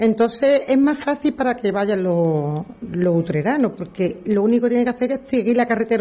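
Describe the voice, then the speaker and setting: At a very fast pace with hardly any pauses, a woman speaks in a somewhat breathy, fairly high voice, keeping very even loudness and lively intonation. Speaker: brotherhood worship officer. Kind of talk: radio interview.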